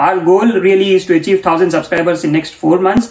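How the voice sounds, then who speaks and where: A man speaks at a high pitch with ordinary pitch variation. Room echo is audible. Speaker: vlogger. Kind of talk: casual vlog chat. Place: home room.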